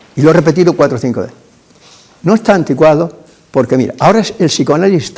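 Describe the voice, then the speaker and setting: A man's high-pitched voice swings very widely in pitch. He talks at a very fast pace. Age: 80s+. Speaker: psychologist. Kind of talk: lecture. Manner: halting.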